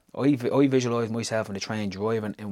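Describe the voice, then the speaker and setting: In a Dublin accent, a man speaks with a fairly low pitch and fairly even intonation, on a very clean recording with a silent background. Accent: Dublin Irish. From Ireland, Tallaght (Dublin). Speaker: business founder. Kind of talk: interview.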